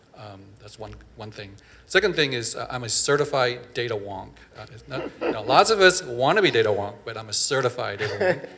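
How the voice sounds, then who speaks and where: Over noticeable background noise, a man speaks with lively intonation. His loudness swings widely. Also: medium pitch for a man, fairly quick pace. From Vietnam, raised in Northern California. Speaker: physician and professor. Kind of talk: panel discussion. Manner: hesitant, many fillers.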